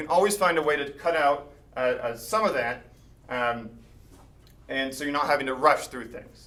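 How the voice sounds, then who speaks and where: A man with a fairly high pitch talks with ordinary pitch variation, big swings in loudness and long, frequent pauses. Audible room echo and noticeable background noise fill the recording. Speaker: mathematician giving a talk. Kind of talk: lecture. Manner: fast.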